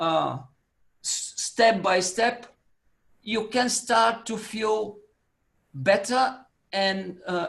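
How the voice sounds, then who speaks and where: The speaker has a non-native accent and talks at a very slow pace with long, frequent pauses. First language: not English. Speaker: coach. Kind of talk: online Q&A advice. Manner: halting.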